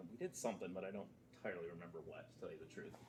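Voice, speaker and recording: A man's voice with audible room echo. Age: 40s. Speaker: lecturer. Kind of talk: lecture. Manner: casual.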